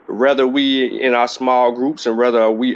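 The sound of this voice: The speaker is a man. His pitch sits in the medium range.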